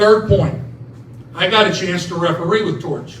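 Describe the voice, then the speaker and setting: A loud man speaks with fairly even intonation, with audible room echo and noticeable background noise. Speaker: retired basketball referee and officiating trainer. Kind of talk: ceremony speech.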